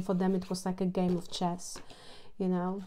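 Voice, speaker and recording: A woman talks at a moderate pace in a dark, mellow tone. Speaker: tarot card reader. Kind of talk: tarot reading commentary. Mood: calm, reflective.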